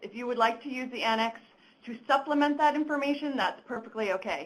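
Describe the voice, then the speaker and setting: A woman speaks at a fairly quick pace. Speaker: government program officer. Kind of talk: stakeholder consultation Q&A. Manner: loud.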